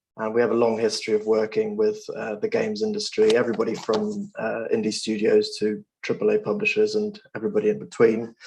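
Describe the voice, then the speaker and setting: Fairly quick male speech with hardly any pauses. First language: Russian. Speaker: lawyer. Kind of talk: presentation. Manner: hesitant, with frequent fillers.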